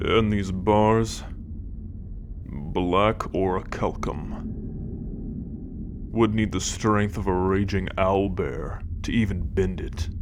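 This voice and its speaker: In a put-on character voice, a gruff man speaks very slowly in a very deep, low register, with long, frequent pauses and loud background noise. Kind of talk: fantasy ASMR roleplay. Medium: solo performance. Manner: gruff, sardonic, profane.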